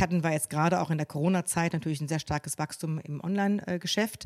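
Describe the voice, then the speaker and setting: Fairly low for a woman, this voice races at a very fast pace. Her pitch varies in an ordinary way, in a dry, close sound with no echo. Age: 50s. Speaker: family business co-owner. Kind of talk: live interview with audience. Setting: studio with live audience. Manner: hesitant, many fillers.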